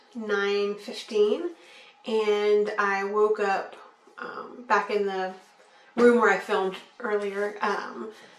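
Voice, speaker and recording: Audible room echo and noticeable background noise accompany a woman speaking at a very slow pace. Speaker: vlogger. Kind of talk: video diary. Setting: home. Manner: casual, relaxed.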